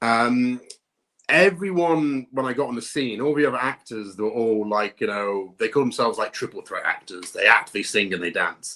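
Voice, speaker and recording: A man with a British accent, bright and sharp in tone, with lively intonation at a moderate pace. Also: medium pitch for a man. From northern England. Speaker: actor and motion capture performer. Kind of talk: interview.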